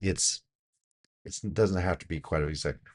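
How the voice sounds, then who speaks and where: Vocal fry and a very deep, low pitch from a man at a fairly quick pace, over a quiet background. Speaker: business doctor reviewing productivity videos. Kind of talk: video commentary.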